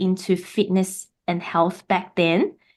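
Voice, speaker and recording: A woman speaks with a Mandarin accent at a medium pitch. Her tone is dark and mellow against a quiet background. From Taiwan. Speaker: podcaster, spiritual guest. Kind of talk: casual interview chat.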